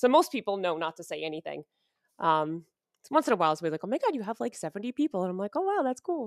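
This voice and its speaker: A woman with a New York accent talks at a very fast pace at a medium pitch, her tone animated and her pitch swinging very widely. The recording is very clean with a silent background, and the sound is dry and close, with no echo. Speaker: streamer. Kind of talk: casual interview chat.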